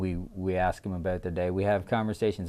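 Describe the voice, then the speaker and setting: The speech moves at a moderate pace with fairly even intonation. The background is quiet. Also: man. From Newfoundland, Canada. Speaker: restaurant owner. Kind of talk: casual interview. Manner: halting, many fillers and repeats.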